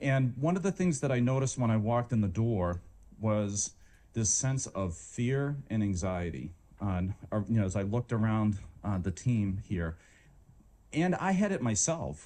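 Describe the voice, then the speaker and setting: Lively intonation and very even loudness mark a man's dark, mellow tone, delivered with a slight Boston accent. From Boston, Massachusetts. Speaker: medical school dean. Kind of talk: leadership talk. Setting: stage with audience, walking around room. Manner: fast; animated.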